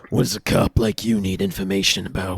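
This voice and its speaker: Deep down at a very low pitch, a man performs a raspy, put-on character voice. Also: fairly quick pace, fairly even intonation. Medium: actual play.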